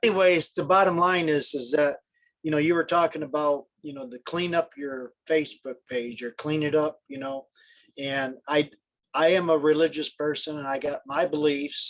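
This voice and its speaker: A man's fairly high-pitched, a normal speaking voice, with fairly even intonation, a moderate pace and big swings in loudness. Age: 60s. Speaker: network marketer on group call. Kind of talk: casual group call discussion. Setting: group call.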